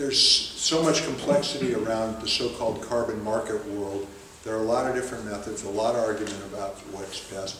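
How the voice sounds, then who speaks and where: Light background noise and audible room echo surround a man who talks at a fairly quick pace with ordinary pitch variation. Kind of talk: public talk explaining policy. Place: hall. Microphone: camera far.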